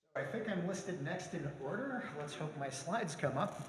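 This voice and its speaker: High-pitched male voice amid audible room echo. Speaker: professor. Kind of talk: lecture. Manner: fast.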